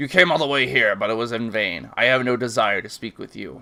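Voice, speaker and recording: Using a put-on character voice, a man talks at a fairly quick pace. His medium pitch has ordinary variation. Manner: dismissive, haughty.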